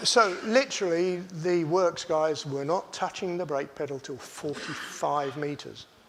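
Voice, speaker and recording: Speaking at a fairly slow pace, a man talks in a high voice. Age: 70s. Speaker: racing driver. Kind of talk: talk to an audience. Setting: stage with audience.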